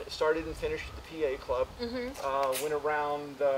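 Loud background noise fills the clip. The speaker talks at a fairly slow pace. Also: man. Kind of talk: interview answer. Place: street.

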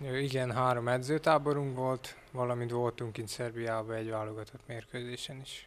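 A man's monotone, flat delivery at a moderate pace with hardly any pauses. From Hungary, Zala county; Hungary. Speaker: athlete. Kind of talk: interview. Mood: calm, modest. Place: office. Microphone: handheld.

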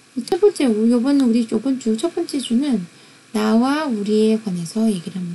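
Amid noticeable background noise, a woman with a fairly high pitch speaks at a moderate pace, her intonation lively and her loudness swinging widely. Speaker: university lecturer. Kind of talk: lecture.

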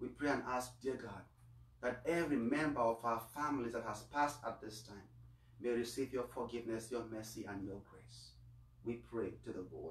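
A man at a moderate pace with fairly even intonation and audible room echo. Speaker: priest. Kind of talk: Mass homily and prayers of the faithful. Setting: online livestream of Mass. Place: home room. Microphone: camera far.

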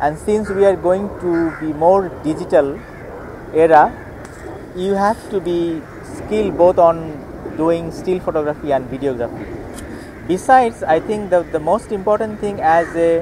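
Noticeable background noise sits under a dry sound with no echo. A man with a high pitch speaks at a moderate pace, leaving long, frequent pauses. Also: ordinary pitch variation. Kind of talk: interview answer. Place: open country.

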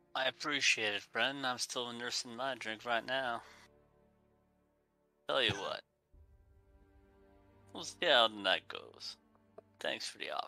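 Faint music sits in the background as a put-on character voice moves at a fairly slow pace with long, frequent pauses. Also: man, medium pitch for a man. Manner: easygoing, mellow, calling others man and friend.

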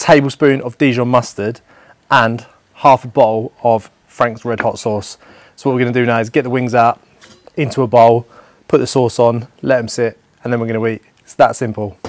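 At a moderate pace, a man speaks in a monotone with flat intonation, the sound dry with no echo. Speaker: presenter. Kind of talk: cooking tutorial. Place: garden.

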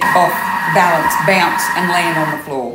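A woman speaks at a fairly slow pace with a fairly bright tone and ordinary pitch variation. Strong room echo surrounds her voice. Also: fairly low pitch for a woman.

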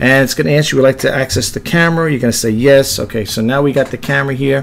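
Ordinary pitch variation at a very fast pace. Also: man. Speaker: reseller demonstrating an app. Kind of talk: tutorial. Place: home room. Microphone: webcam.

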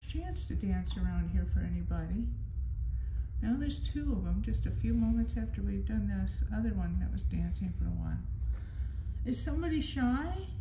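A woman at a moderate pace with ordinary pitch variation, audible room echo and light background noise. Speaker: paranormal investigator. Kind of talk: spirit communication session. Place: hall. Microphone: phone near.

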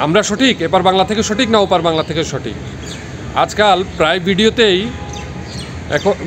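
A man speaks with a high pitch and ordinary pitch variation. Noticeable background noise sits behind him. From Bangladesh. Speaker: vlogger. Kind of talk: vlog monologue. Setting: outdoors in a park. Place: street. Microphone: phone near.

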